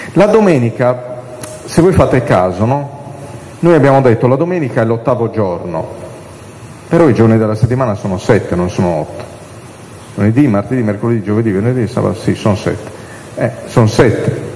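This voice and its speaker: With audible room echo and noticeable background noise, a man with a medium-pitched voice speaks at a fairly quick pace with lively intonation and long, frequent pauses. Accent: Sardinian. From Sardinia. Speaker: priest and liturgy lecturer. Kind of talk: catechesis lecture.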